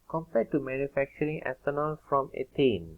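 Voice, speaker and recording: A man's unremarkable speaking voice, medium-pitched for a man, at a moderate pace. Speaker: chemistry tutor. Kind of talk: tutorial.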